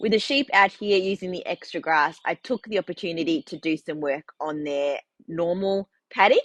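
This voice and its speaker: A woman with an Australian accent speaks at a moderate pace in a fairly low pitch with ordinary pitch variation, her dry, close sound carrying no echo over a quiet background. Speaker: farmer and knitting vlogger. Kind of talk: casual vlog chat. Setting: in a shed on the farm.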